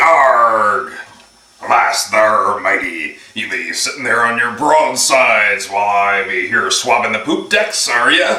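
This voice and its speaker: Putting on a character voice, a man speaks at medium pitch and a fairly slow pace with slight echo. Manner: gruff, playful.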